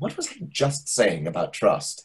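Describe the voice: A man's put-on character voice, fairly low in pitch, with a husky, rough edge, a fairly slow pace and very wide pitch swings.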